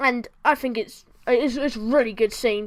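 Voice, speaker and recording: A woman's fairly high voice in a bored tone, fairly slow, with ordinary pitch variation, on a very clean recording with a silent background. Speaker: film review youtuber. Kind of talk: casual film review monologue. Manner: halting, many fillers and self-corrections; sounds bored.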